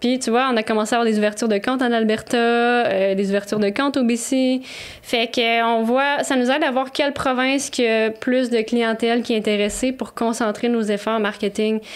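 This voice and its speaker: Amid noticeable background noise, a woman with a Quebec accent speaks fairly quickly at a fairly high pitch, her loudness very even and her intonation fairly even. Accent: Québécois French. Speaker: co-founder of a herbal tea company. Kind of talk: podcast interview.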